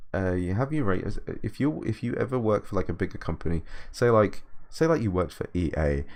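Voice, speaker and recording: In a British accent, a man talks at a very fast pace with lively intonation. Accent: British, drops T's. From Britain. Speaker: video game composer. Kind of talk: livestream Q&A. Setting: livestream. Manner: halting, many repetitions and fillers.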